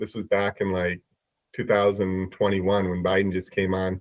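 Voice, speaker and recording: At a moderate pace, a man talks with a Midwestern accent. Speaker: prediction market trader. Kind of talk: casual podcast chat. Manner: halting, many repetitions.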